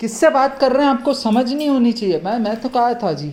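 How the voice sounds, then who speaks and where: A man with an extremely high voice speaks at a moderate pace. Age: 70s. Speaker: retired community activist. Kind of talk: vlog monologue. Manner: animated, rambling code-switching.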